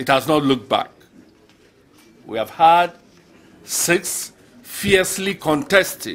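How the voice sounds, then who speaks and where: With ordinary pitch variation, a man speaks at a fairly slow pace. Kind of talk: formal speech. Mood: warm, proud. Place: hall. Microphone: podium.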